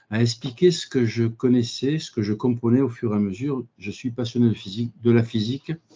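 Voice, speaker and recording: A man's dark, mellow tone at a medium pitch, with ordinary pitch variation and a moderate pace. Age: 60s. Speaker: physicist and engineer, business owner. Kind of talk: conference talk. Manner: halting.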